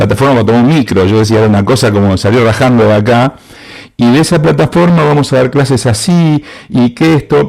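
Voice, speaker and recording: Lively intonation marks a plain, everyday voice moving at a fairly quick pace. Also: man, medium pitch for a man. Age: 60s. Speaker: university lecturer in advertising and creativity. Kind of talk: conference talk.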